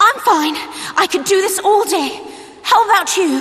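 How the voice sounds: A put-on character voice delivered at a fairly slow pace. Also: woman, extremely high pitch for a woman, lively intonation, fairly bright tone.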